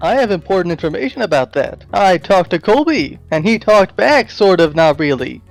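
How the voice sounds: Faint music plays in the background as someone uses a put-on character voice. The pitch swings widely, with vocal fry throughout. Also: man, high pitch for a man, moderate pace.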